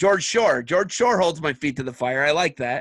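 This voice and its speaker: The voice moves at a fairly quick pace with a Midwestern US accent, in a dry, close sound with no echo. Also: man. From Ohio, Ottawa County. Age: 40s. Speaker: wrestling podcast host. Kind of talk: casual interview chat.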